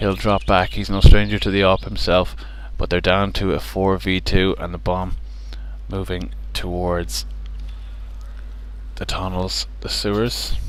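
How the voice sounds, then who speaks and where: A man's voice amid audible room echo and noticeable background noise. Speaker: esports caster. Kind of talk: live commentary. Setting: at venue near players.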